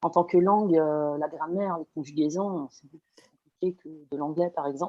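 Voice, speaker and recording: Speaking at a moderate pace, a woman with a fairly low pitch keeps a fairly even intonation amid big swings in loudness. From western France (Loire-Atlantique). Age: 30s. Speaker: expat parent. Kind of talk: interview conversation. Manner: hesitant, many fillers.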